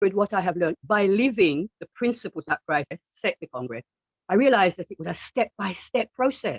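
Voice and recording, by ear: With a slightly husky edge, a woman speaks at a moderate pace and medium pitch, her intonation lively and the sound dry and close with no echo.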